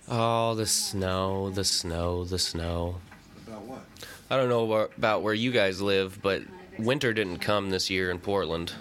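Someone with an American accent talks at a fairly slow pace with fairly even intonation, over audible room echo. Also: man, fairly low pitch for a man. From US Pacific Northwest, Central Washington. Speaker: podcast host, movie commentator. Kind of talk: casual solo movie commentary.

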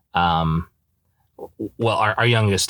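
Captured in a very clean recording with a silent background, a man with an American accent talks with ordinary pitch variation. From Idaho, US. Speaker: law student podcaster. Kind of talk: casual solo podcast monologue. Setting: in a parked car. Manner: casual, with many fillers.

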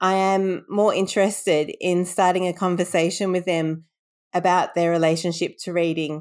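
With an Australian accent, a woman talks at a moderate pace in a monotone, flat intonation. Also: very clean recording, silent background. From Sydney, Australia. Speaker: bibliotherapist and author. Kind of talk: interview storytelling.

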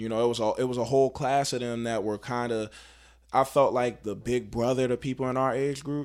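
Someone with an American accent talks at a fairly quick pace in a monotone, flat intonation, on a very clean recording with a silent background. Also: man, medium pitch for a man. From Baltimore, Maryland. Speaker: rapper. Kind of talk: casual interview.

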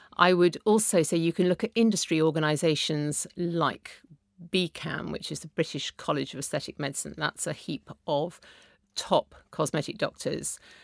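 A woman talks in an ordinary speaking voice at a moderate pace, her pitch fairly low with ordinary pitch variation. The sound is dry and close with no echo, a very clean recording over a silent background. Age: 50s. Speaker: beauty journalist and author. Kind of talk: casual chat.

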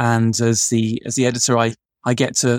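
The sound is dry and close, with no echo. A man speaks at a medium pitch. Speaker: journal editor, dermatologist. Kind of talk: podcast interview, relaxed.

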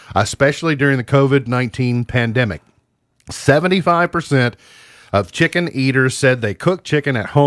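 Plain reading aloud, ordinary pitch variation and a quiet background.

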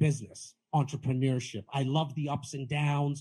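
Animated tone from a man at a fairly high pitch, somewhat breathy, at a moderate pace over a quiet background. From Canada, Toronto (Rexdale). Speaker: real estate agent and podcaster. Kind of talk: panel interview at live event. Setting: live event with audience.

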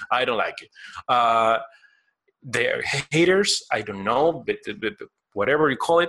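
With a Spanish accent, a man talks at a fairly slow pace in a fairly high pitch, using lively intonation and a bright, sharp tone. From Argentina. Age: 30s. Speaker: collectibles sculptor. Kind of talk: interview. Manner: halting.

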